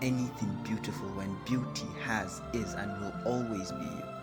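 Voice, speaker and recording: A man talks at a moderate pace as music plays behind him. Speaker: spoken word poet. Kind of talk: spoken word poetry performance.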